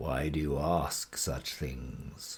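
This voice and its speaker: A man performs a put-on character voice. His pitch is very deep and low. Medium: read story. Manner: sly, coaxing.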